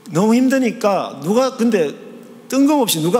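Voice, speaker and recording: A man's voice over noticeable background noise. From Gyeongsang province, South Korea. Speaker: theology professor, guest preacher. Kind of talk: sermon. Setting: church.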